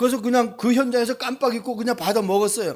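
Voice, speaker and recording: A man's high-pitched voice. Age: 60s. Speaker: pastor. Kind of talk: sermon. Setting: church.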